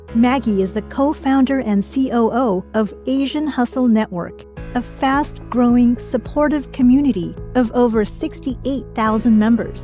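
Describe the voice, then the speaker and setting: A woman with an American accent at a moderate pace, music in the background. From San Francisco Bay Area. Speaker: voice actor. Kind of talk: podcast intro.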